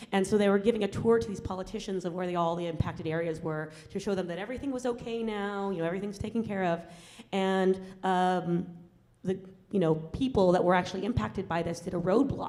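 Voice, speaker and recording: Talking at a very fast pace, a woman with a medium pitch has a dark, mellow tone and ordinary pitch variation. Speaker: environmental justice activist. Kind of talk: Q&A talk after film screening. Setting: university screening with audience. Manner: hesitant, many fillers.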